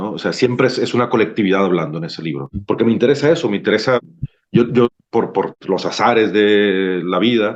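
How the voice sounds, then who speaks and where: The speech is fairly quick. Lively intonation runs through it. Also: man, fairly low pitch for a man. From Mexico, Sinaloa. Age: 40s. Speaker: novelist. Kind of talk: book club discussion. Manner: hesitant, many repetitions.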